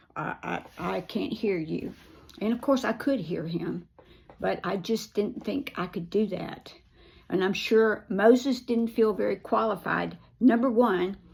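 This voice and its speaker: A fairly slow woman's voice, medium in pitch with ordinary pitch variation and vocal fry. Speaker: recovery ministry leader. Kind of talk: devotional teaching.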